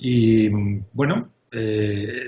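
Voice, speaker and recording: Here a man speaks with fairly even intonation. His voice is somewhat breathy. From Spain. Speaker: UX design executive. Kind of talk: interview. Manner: hesitant, many filler sounds.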